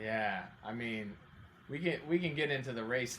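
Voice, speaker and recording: A man with an American accent talks at a moderate pace in a normal speaking voice, with ordinary pitch variation. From Oregon, Salem. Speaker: accountant and amateur triathlete. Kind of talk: podcast interview.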